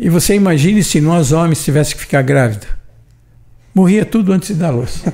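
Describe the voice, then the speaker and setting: Using a high pitch and lively intonation, a man talks at a fairly quick pace with long, frequent pauses. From São Paulo state, Brazil. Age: 80s+. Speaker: retired shop owner. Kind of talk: podcast interview. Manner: animated.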